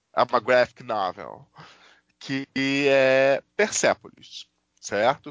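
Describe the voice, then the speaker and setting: A man speaks at a very slow pace. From Rio de Janeiro. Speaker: podcast co-host. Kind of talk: casual chat.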